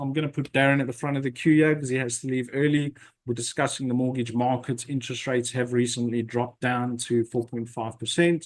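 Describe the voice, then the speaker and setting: This man has a normal speaking voice at a medium pitch. He talks at a fairly quick pace. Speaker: property investment webinar host. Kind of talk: webinar presentation.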